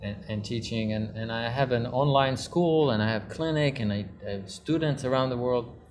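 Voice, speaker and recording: A man's voice carries audible room echo, with music playing in the background. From Israel. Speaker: luxury real estate promoter. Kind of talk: casual interview. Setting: in a cinema lounge.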